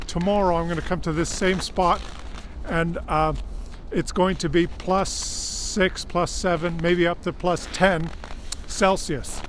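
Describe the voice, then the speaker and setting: The man's voice carries audible room echo, and noticeable background noise runs underneath. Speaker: vlogger. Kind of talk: outdoor vlog monologue. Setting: outdoors in extreme cold. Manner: halting, many fillers.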